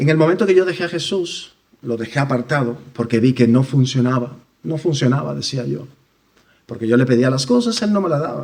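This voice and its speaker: Vocal fry runs through a man's voice as he talks at a fairly quick pace. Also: medium pitch for a man, lively intonation. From Dominican Republic. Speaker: church member giving testimony. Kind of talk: testimony. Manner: halting.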